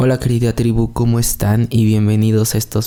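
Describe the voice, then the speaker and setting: This man speaks at a moderate pace and a medium pitch. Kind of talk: religious podcast monologue. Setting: at home, recorded in the early morning. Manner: soft-spoken, quieter than usual; calm, less energetic than usual.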